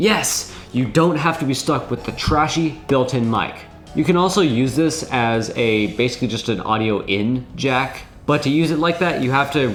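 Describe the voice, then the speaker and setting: A man speaks at medium pitch and a moderate pace, with lively intonation. The room echo is audible and the background noise is noticeable. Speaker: tech video creator. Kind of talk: tutorial. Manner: casual.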